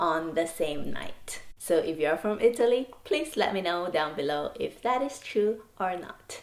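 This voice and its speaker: With lively intonation, a woman speaks at a medium pitch and a moderate pace. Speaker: vlogger. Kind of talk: casual vlog talk to camera. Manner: animated.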